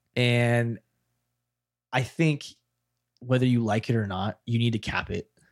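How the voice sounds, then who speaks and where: There are long, frequent pauses as a man with an American accent speaks at a medium pitch, the sound dry and close with no echo. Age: 20s. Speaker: podcast host. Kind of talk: casual chat. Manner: animated.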